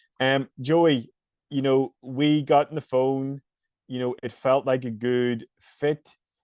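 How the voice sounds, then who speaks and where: In a Northern Irish accent, a man speaks at a very slow pace with a medium pitch and monotone, flat intonation. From Northern Ireland. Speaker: fitness coach and podcast host. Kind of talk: casual podcast interview.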